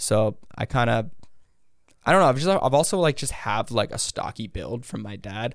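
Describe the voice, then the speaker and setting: With lively intonation and vocal fry, a man speaks at a medium pitch on a very clean recording with a silent background. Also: moderate pace. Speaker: brand founder and former online prankster. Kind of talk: casual interview chat. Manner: casual, filler-heavy.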